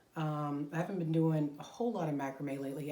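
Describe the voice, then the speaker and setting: Audible room echo surrounds a woman with a very deep, low voice. Her intonation is monotone and flat. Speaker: crochet podcaster. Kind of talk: casual chat. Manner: rambling, taking breaths.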